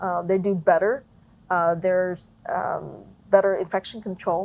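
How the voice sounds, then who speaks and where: Her pitch sits in the medium range as a woman talks with fairly even intonation. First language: non-English. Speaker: small business owner. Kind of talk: interview.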